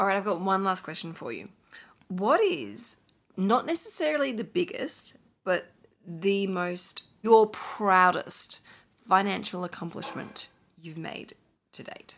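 A woman with an Australian accent speaks at a fairly slow pace and medium pitch, taking long, frequent pauses. Her intonation is lively, with big swings in loudness. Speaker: podcast host and financial planner. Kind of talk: interview podcast chat. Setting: recording at home.

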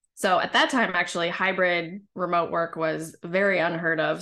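A woman talks with vocal fry at a fairly low pitch. Her intonation stays monotone and flat. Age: 40s. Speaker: women's leadership coach. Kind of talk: casual interview chat.

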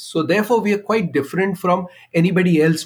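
In an Indian accent, a man talks at a fairly quick pace with ordinary pitch variation. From India, Kashmir. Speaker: marketing executive. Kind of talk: interview.

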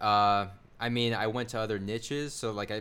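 A man's fairly low pitch. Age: 20s. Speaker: affiliate marketer and YouTuber. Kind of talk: casual chat.

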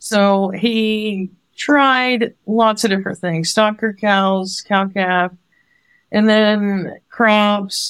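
In a very clean recording with a silent background, a woman with an American accent speaks at a very slow pace and medium pitch, her intonation fairly even. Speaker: farmer. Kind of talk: casual chat.

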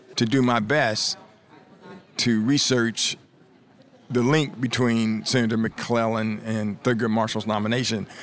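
The speaker has an American accent and an ordinary speaking voice. The intonation is fairly even and the pace moderate. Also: man. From US Midwest, Columbus, Ohio. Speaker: author and journalism professor. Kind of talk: interview. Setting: conference venue.

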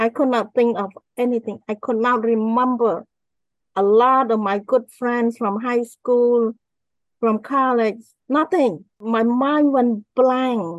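Here a woman with a Cambodian accent speaks at a very slow pace and a fairly high pitch. Her intonation is fairly even, and the sound is dry and close with no echo. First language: Khmer. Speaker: author and motivational speaker. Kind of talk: interview testimony.

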